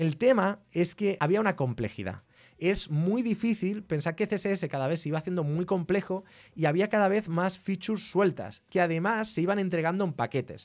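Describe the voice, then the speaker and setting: With a Spanish accent, a man speaks in a high pitch and an animated tone at a moderate pace, his pitch varying in an ordinary way against a quiet background. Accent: Peninsular Spanish. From Spain. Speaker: tech streamer. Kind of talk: live stream tech explainer. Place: home room. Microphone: studio mic.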